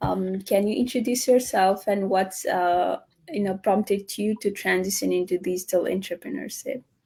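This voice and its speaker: In a very clean recording with a silent background, a woman talks at a moderate pace in a dark, mellow, somewhat breathy tone, her medium pitch showing ordinary variation. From Nepal. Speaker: online business host and nurse. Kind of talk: live interview. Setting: live stream. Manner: halting, many fillers.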